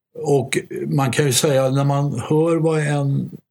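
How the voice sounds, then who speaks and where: Vocal fry runs through a man's voice, pitched in the medium range. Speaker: art and record collector, jazz historian. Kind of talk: casual discussion.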